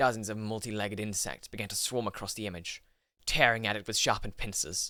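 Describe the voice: Plain reading aloud with fairly even intonation plays over a quiet background.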